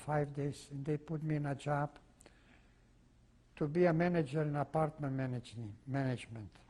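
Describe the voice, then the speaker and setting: A man with a non-native accent speaks at a moderate pace with fairly even intonation. His fairly high-pitched voice is somewhat breathy with a dark, mellow tone. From Czechoslovakia. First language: not English (Czechoslovak region). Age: 80s+. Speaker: Holocaust survivor. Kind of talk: oral history testimony interview. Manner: halting, with frequent fillers.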